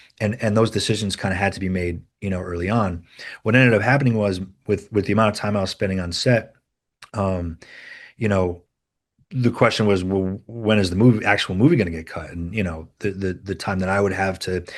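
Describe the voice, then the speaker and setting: A man's fairly low voice with a slight Rhode Island accent and fairly even intonation, against a quiet background. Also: fairly quick pace. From US Northeast, Rhode Island. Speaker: film editor. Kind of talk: interview. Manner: halting, many repeated words and fillers.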